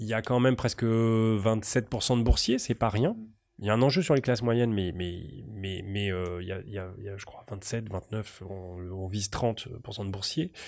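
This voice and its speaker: On a very clean recording with a silent background, a man speaks fairly slowly at medium pitch with ordinary pitch variation. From Paris region. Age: 40s. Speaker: urban policy academic. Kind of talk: interview. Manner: halting.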